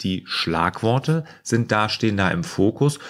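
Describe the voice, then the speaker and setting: At a moderate pace, a man talks with lively intonation. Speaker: productivity coach. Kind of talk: casual Q&A vlog. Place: office.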